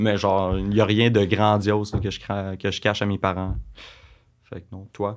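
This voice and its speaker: A man in a Quebec accent, fairly low-pitched and monotone with flat intonation, at a fairly slow pace against a quiet background. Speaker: blind date guest; guest. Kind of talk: casual chat. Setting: studio. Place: studio. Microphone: studio mic.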